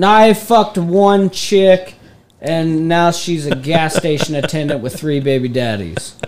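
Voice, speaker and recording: A man with an American accent speaks in a high voice. His intonation is lively. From northeast Texas, Denton area. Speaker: podcast co-host. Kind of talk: casual chat.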